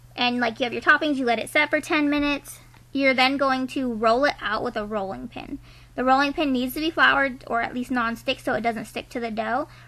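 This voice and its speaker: A woman with a high-pitched voice speaks in a bright, sharp tone with fairly even intonation. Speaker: lifestyle vlogger. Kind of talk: tutorial. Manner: casual, filler-heavy.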